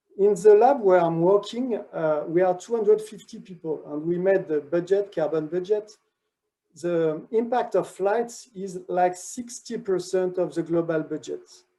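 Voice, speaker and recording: A man with a French accent speaks in a high pitch with a dark, mellow tone and ordinary pitch variation. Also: moderate pace. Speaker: research director. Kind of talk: conference talk. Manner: halting.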